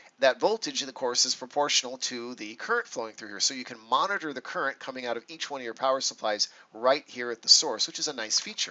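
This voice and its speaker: Speech comes at a very fast pace with hardly any pauses and big swings in loudness. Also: man, ordinary pitch variation. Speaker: electronics course instructor. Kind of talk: lecture. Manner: casual, with frequent fillers. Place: home room.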